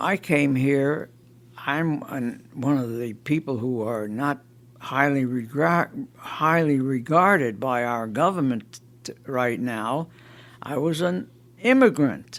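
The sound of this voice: A man with an American accent speaks slowly at a medium pitch. His tone is fairly bright, and his pitch varies in an ordinary way.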